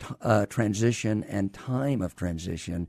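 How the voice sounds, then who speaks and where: This man has a dark, mellow tone and speaks with a Southern US accent. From US South, Alabama. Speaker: retired army doctor and care company executive. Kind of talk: interview. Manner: halting.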